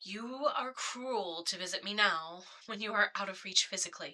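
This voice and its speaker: A woman puts on a character voice at a medium pitch and speaks at a moderate pace. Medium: read story.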